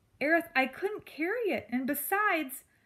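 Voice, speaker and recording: A woman in a put-on character voice speaks at an extremely high pitch and a moderate pace. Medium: read story. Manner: earnest, polite.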